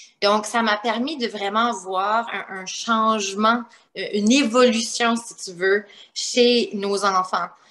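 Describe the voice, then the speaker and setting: A woman speaks very slowly with a slight New Brunswick accent. Her fairly high voice keeps a fairly even intonation. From New Brunswick, Canada (Acadian). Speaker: primary school teacher and author. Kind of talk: interview.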